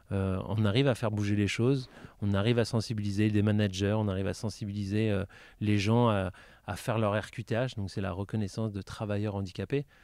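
A man's fairly low-pitched, monotone voice with flat intonation at a fairly quick pace, on a very clean recording with a silent background. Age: 30s. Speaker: para-badminton athlete. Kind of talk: interview.

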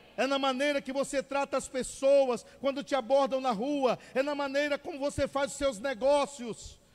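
This man sounds animated, his pitch extremely high. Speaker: preacher. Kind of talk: sermon. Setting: church. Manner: fervent, call-and-response style.

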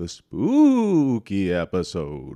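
A man puts on a character voice. His pitch is fairly low. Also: quiet background. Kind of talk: 1950s movie ghost style. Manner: elongated, spooky.

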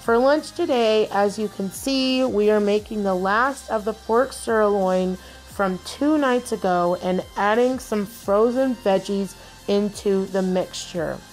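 Music plays in the background as a woman speaks at a very slow pace with ordinary pitch variation. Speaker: home vlogger. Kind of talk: narrated vlog voice-over.

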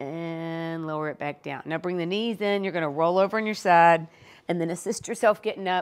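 A woman is speaking. Her pace is moderate. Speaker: fitness instructor. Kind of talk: workout tutorial instruction.

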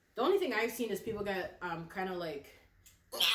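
Mid-range female tones carrying audible echo from the room. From Canada. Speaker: plant YouTuber. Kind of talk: casual vlog chat while potting plants. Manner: chatty, casual. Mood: relaxed, chatty. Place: home room. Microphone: phone near.

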